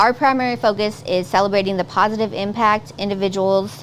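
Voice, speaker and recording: Noticeable background noise runs under a woman's voice. She speaks at a medium pitch and a fairly quick pace. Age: 30s. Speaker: talk show host. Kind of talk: talk show interview.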